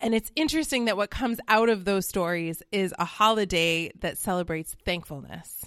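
In an American accent, a woman with an unremarkable speaking voice talks at medium pitch and a moderate pace. Her intonation is lively, with hardly any pauses. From Colorado. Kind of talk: casual chat.

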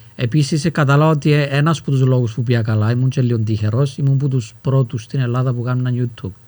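This man speaks at a medium pitch with a dark, mellow, somewhat breathy tone, fairly even intonation and hardly any pauses. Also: fairly quick pace. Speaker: rapper and youtuber. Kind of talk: casual chat.

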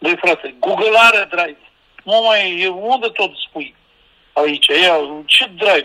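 A man with a high voice speaks in a raised, projected way at a very slow pace. Long, frequent pauses break up his speech, and his pitch varies in an ordinary way. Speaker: guest with a tech problem.

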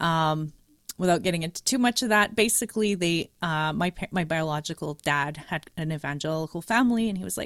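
A woman with a Canadian accent, fairly low in pitch, with lively intonation, in a dry, close sound with no echo and a very clean recording, silent background. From Canada, Montreal. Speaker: podcaster. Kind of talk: casual chat.

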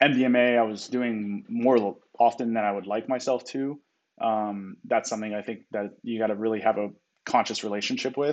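An unremarkable speaking voice belongs to this man, medium in pitch. He keeps a moderate pace and fairly even intonation. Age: 30s. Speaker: poker player. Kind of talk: casual chat.

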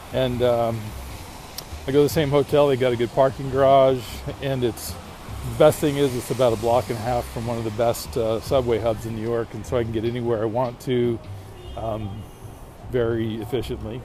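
Noticeable background noise sits behind a man's voice. He talks at a fairly quick pace with fairly even intonation and long, frequent pauses. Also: medium pitch for a man. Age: 50s. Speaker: podcast host. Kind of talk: casual monologue. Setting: outdoors walking in a city. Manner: hesitant, with frequent fillers.

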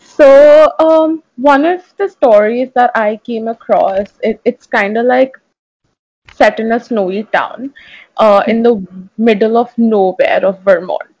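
A woman talks at a fairly slow pace with a slightly mellow tone. Her pitch is fairly high, with ordinary pitch variation.

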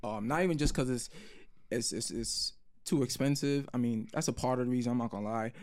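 Talking at a very fast pace, a man with a New York accent speaks at a medium pitch with ordinary pitch variation. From New York City, Brooklyn. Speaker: podcast co-host. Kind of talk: casual chat.

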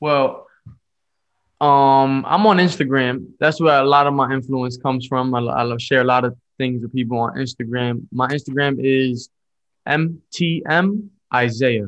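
A man in a New York accent, medium-pitched, with ordinary pitch variation and a fairly slow pace. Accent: New York City. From Bronx, New York. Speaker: lay evangelist. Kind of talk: casual interview.

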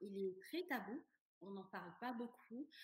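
Somewhat breathy, this woman speaks at a fairly high pitch with ordinary pitch variation. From Senegal. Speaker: coach on vaginismus. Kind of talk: casual interview chat.

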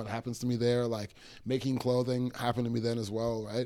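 The voice moves at a fairly quick pace in a Toronto accent. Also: man. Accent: Canadian English (Toronto). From Toronto, Canada. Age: 20s. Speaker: clothing artist and small business owner. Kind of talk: casual interview chat.

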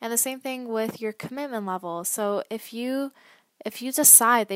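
In an ordinary speaking voice with a Canadian accent, a woman talks at a moderate pace and a fairly high pitch with fairly even intonation, on a very clean recording with a silent background and a dry, close sound with no echo. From Canada, Toronto. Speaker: podcast host, sales coach. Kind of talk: solo podcast monologue.

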